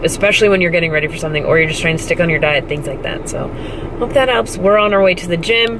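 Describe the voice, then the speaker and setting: Amid noticeable background noise, a woman with a fairly low pitch speaks at a very fast pace. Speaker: fitness competitor vlogger. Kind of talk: casual vlog chat. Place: car. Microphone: phone near.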